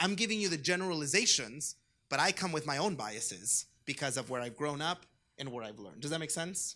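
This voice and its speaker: A man with a Spanish accent speaks at a fairly quick pace in a fairly high pitch with very wide pitch swings. His tone is bright and sharp, and the recording is very clean with a silent background. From US West Coast, Orange County, California. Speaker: diocesan youth ministry director. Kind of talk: conference talk.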